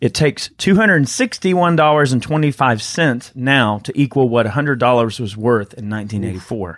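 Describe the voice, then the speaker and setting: On a very clean recording with a silent background, a man speaks with a Southern US accent. His medium-pitched voice has lively intonation at a moderate pace. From Georgia, US South. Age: 30s. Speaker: podcast host. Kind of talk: casual chat.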